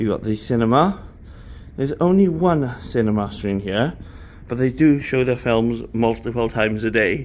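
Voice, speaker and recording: In a Welsh accent, a man talks at a moderate pace and a medium pitch. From Wales. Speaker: travel vlogger. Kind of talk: ship tour vlog. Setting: walking around a cruise ship. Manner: casual, chatty.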